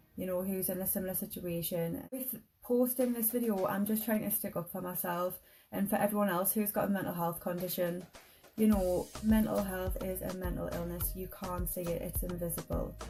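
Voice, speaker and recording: A woman with a British accent at a fairly quick pace, fairly even intonation, and music in the background. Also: medium pitch for a woman. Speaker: mental health vlogger. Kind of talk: vlog rant. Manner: halting.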